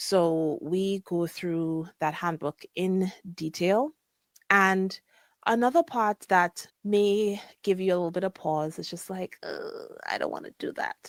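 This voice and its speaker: Soft-spoken and very slow, a woman talks on a very clean recording against a silent background. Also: medium pitch for a woman, ordinary pitch variation, dry, close sound with no echo. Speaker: podcast host and physician coach. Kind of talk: casual podcast monologue. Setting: live podcast recording.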